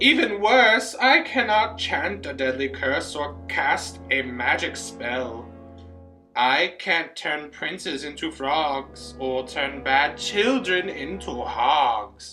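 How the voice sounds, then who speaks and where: A man's fairly high voice at a very slow pace, with very wide pitch swings and music in the background. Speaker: voice student. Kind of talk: poetry reading.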